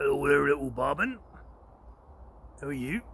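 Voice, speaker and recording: The speech runs at a fairly quick pace over noticeable background noise. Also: man. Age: 50s. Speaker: former pro skateboarder. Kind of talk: casual comedic talk to camera. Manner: joking, deadpan.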